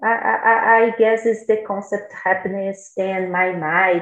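Over music in the background, a woman with a Portuguese accent talks with fairly even intonation. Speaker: language learner. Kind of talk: casual chat. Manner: halting.

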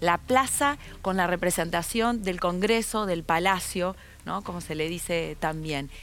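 At a fairly slow pace, a woman with an ordinary speaking voice talks with lively intonation. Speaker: political candidate. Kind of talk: interview.

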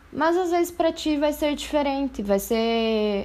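A woman's speech, very slow in pace, shows ordinary pitch variation. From Brazil, interior of Paraná. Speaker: art student and poet. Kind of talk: casual chat.

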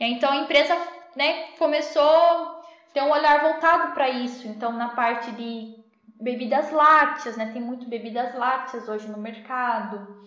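A woman with a high pitch talks at a fairly slow pace, using ordinary pitch variation. Audible room echo and noticeable background noise are present. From interior of São Paulo state, Brazil. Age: 20s. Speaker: food engineer, dairy quality analyst. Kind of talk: interview.

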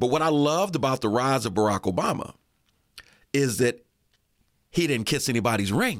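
A man with an American accent talks at a fairly quick pace in a medium pitch, with lively intonation and long, frequent pauses. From Erie, Pennsylvania. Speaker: radio host. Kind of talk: interview.

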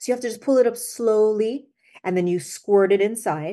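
Her tone dark and mellow, a woman with a slight Jamaican accent speaks at a moderate pace against a quiet background. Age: 50s. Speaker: skincare company founder. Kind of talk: interview.

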